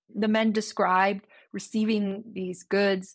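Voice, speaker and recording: On a very clean recording with a silent background, a woman speaks with a Newfoundland accent. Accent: Canadian (Newfoundland). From Newfoundland, Canada. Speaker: history professor. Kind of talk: interview.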